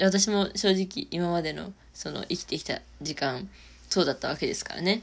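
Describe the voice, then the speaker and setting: This woman's voice sits at a medium pitch with ordinary pitch variation. Vocal fry runs through her speech. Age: 20s. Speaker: solo podcaster. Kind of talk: casual monologue.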